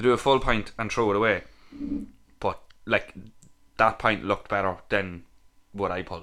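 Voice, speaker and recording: A man with a Louth accent, fairly low in pitch, bright and sharp in tone, at a moderate pace with fairly even intonation and long, frequent pauses. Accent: Irish, Louth. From Ireland, Dundalk. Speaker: podcast co-host. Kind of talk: casual chat.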